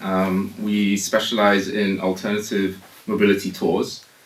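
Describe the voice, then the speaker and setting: Someone with a British accent speaks amid noticeable background noise and audible room echo. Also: man. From United Kingdom. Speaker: tour company founder. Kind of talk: radio interview. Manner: hesitant, many fillers.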